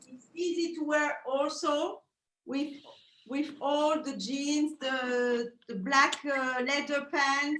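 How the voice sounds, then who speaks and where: A woman with a French accent speaks at a very slow pace, her high, bright, sharp voice showing fairly even intonation but big swings in loudness. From Belgium. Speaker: fur designer. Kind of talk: interview. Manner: halting.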